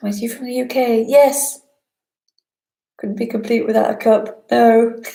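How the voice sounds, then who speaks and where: A woman with a slight northern English accent speaks at a fairly slow pace and fairly high pitch, her intonation fairly even. Long, frequent pauses, big swings in loudness, and audible room echo mark the clip. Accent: British with a slight northern twang. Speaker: spiritual teacher. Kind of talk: live online talk answering chat questions.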